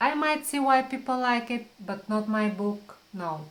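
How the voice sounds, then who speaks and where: A woman with a non-native accent and a fairly high voice speaks at a very slow pace, with audible room echo around her. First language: not English. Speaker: book vlogger. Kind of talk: casual talk to camera. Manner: halting, with fillers and repeats.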